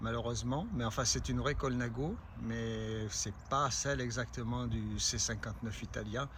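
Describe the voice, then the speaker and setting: A man's fairly slow speech with audible room echo and very even loudness. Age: 60s. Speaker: amateur cyclist vlogger. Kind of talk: casual product presentation. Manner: hesitant, many filler sounds.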